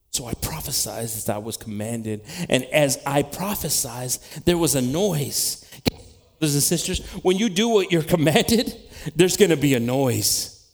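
A man's pitch swings very widely as he speaks at a moderate pace amid noticeable background noise. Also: fairly high pitch for a man. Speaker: preacher. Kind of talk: sermon. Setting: church. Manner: animated.

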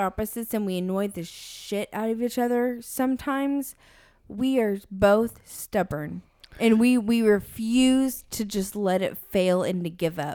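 The voice has a dark, mellow tone and lively intonation. Its pace is moderate. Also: woman, very clean recording, silent background. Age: 30s. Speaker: podcast co-host. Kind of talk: casual chat.

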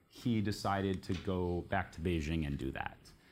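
Recorded very cleanly against a silent background, a man speaks with a Californian accent. His pitch is very deep and low, with ordinary variation. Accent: General American (California). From US, San Francisco Bay Area. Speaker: journalist and author. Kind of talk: book talk to live audience.

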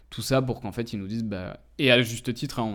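A man at a fairly quick pace with fairly even intonation, on a very clean recording with a silent background. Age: 20s. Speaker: entrepreneur. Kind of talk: interview. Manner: hesitant, many filler words.

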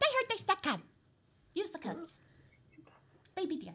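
A woman uses a put-on character voice, pitched extremely high and swinging very widely in pitch. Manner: sweet, affected.

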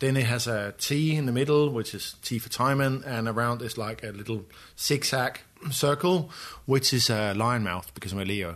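The speaker has a Danish accent and a moderate pace. Pitch variation is ordinary. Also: man, medium pitch for a man. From Denmark, Copenhagen. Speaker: photographer and artist. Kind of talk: interview conversation. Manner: hesitant, many fillers.

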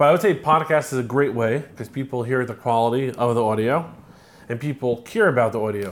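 A man talks at a fairly quick pace in a normal speaking voice. His pitch is medium with ordinary variation. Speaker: art gallery owner and business advisor. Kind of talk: casual chat.

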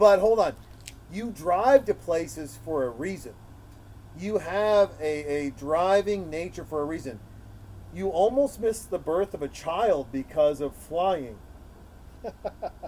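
The voice is loud and dark, mellow in tone, with an American accent and lively intonation. It moves at a fairly slow pace, broken by long, frequent pauses. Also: man, high pitch for a man. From Montana. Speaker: podcast host. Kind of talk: casual chat with friends. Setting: outdoors in a driveway. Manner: loud and aggressive; animated.

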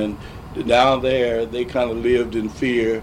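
Through audible room echo and noticeable background noise, a man with an American accent speaks in a medium pitch at a fairly slow pace. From St. Louis, Missouri (US Midwest). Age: 60s. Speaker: war veteran and retired school principal. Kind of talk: 1980s oral history interview, elder recounting WWII pilot training memories. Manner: unhurried and reflective, with frequent 'uh' hesitations.

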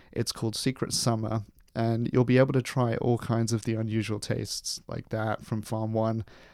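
A man with a southern English accent speaks at medium pitch and a moderate pace, his intonation flat and monotone, on a very clean recording with a silent background. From London, England. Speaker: podcast host. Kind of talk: interview; scripted narration.

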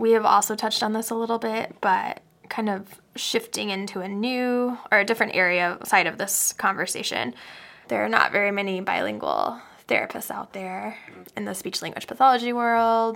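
On a very clean recording with a silent background, a woman with a plain, everyday voice speaks at a fairly high pitch and a moderate pace with fairly even intonation. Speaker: podcast host, speech-language pathologist. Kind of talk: casual chat, interview.

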